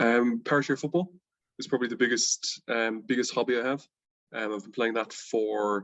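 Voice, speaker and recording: A man with a Dublin accent speaks at a moderate pace and medium pitch, with ordinary pitch variation. His loudness swings widely. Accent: Irish (Dublin). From Ireland, Dublin. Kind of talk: interview.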